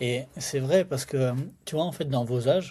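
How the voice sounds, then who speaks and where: A man speaks at a fairly slow pace and a fairly high pitch. His voice is somewhat breathy, with a dark, mellow tone. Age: 30s. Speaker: entrepreneur and sales expert. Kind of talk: casual podcast conversation. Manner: casual, many fillers.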